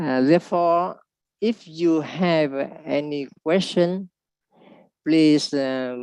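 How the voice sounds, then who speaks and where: A woman with a non-native accent, very deep and low in pitch, ordinary pitch variation, a very slow pace, and a dry, close sound with no echo. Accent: non-native, self-described poor pronunciation. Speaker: translator of teachings. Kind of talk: conference presentation. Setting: video call. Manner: halting.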